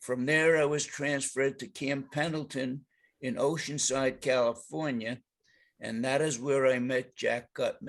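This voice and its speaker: With a New York accent, the speaker goes at a fairly slow pace with fairly even intonation against a quiet background. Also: man. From New York, the Bronx. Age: 90s. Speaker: war veteran. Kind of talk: reading aloud.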